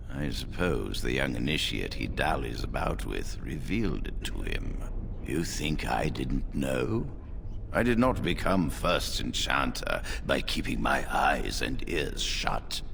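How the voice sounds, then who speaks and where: A man puts on a character voice at a fairly slow pace. Loud background noise runs behind him. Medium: machinima. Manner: measured, dignified.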